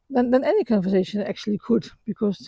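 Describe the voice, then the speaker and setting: Talking at a very fast pace with a non-native accent, a woman has a fairly high pitch, a dark, mellow tone and a somewhat breathy quality, recorded dry and close with no echo. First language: not English. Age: 60s. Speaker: vlogger. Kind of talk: walk-and-talk personal reflection. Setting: outdoors, walking after sunrise. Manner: halting, many fillers and repetitions; calm, reflective.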